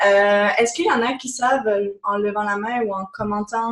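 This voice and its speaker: A somewhat breathy woman's voice, fairly high in pitch, at a moderate pace. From France. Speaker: business coach. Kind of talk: webinar presentation.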